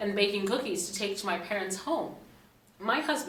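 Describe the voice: Simple, plain reading aloud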